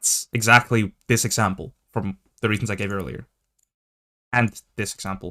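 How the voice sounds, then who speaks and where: A man with a non-native accent, fairly low-pitched with fairly even intonation, at a moderate pace with long, frequent pauses, in a dry, close sound with no echo on a very clean recording with a silent background. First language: not English. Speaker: gaming video commentator. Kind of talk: commentary video reacting to tweets. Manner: halting, with many fillers and restarts.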